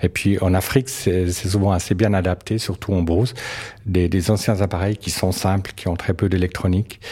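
A man with a very deep, low pitch talks at a fairly quick pace with fairly even intonation. Noticeable background noise is present. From Switzerland. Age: 60s. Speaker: biologist. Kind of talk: interview. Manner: halting, frequent repetitions.

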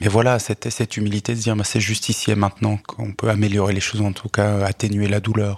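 In a dry, close recording with no echo, a man speaks at a moderate pace with a fairly low pitch and monotone, flat intonation. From Switzerland, Lausanne area. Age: 40s. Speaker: poet, social worker and local politician. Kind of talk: radio interview. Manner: hesitant, many fillers and repetitions.

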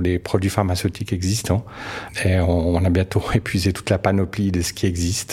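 With noticeable background noise around him, a man with a very deep, low pitch talks at a moderate pace. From Switzerland. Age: 60s. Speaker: biologist. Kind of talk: interview. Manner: halting, frequent repetitions.

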